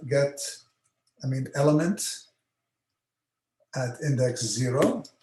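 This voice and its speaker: Speaking very slowly, a man uses a fairly high pitch with ordinary pitch variation and a dark, mellow tone. His voice is somewhat breathy, and audible room echo surrounds it. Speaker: university lecturer. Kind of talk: lecture. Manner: halting, many fillers.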